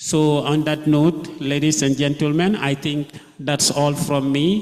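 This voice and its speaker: A man speaks at a fairly slow pace, his pitch fairly high. Noticeable background noise runs underneath. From The Gambia. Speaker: conference speaker. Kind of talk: conference presentation.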